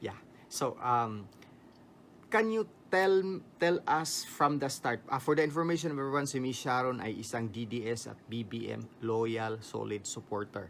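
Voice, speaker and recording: A man with a Filipino accent speaks at a medium pitch with lively intonation. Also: moderate pace. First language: Tagalog. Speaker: vlogger interviewer. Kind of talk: interview.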